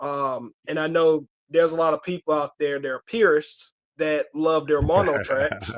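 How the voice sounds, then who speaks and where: With a Southern US accent, a man speaks at a moderate pace and a fairly high pitch. His pitch varies ordinarily, and the sound is dry and close with no echo. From Alabama, Huntsville. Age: 30s. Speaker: movie collector YouTuber. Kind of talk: casual chat.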